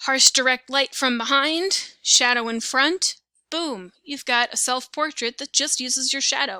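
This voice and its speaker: A woman speaks in a raised, projected voice, high-pitched with a bright, sharp tone. Her pitch varies in an ordinary way, and the sound is dry and close with no echo. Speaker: teacher. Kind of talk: lecture. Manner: casual, conversational.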